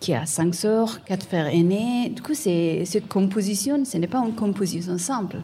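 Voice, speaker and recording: Her voice is dark, mellow and somewhat breathy, a woman at medium pitch using lively intonation at a fairly slow pace. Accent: non-native. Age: 30s. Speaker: visual artist. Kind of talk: interview. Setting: live event with audience. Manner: halting, repeats words.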